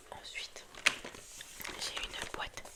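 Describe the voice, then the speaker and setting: Over noticeable background noise, a woman whispers in a calm tone at a very slow pace. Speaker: ASMR creator. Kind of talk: ASMR whispered haul video to camera. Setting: indoors at night, close microphone. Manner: whispered, calm, soft.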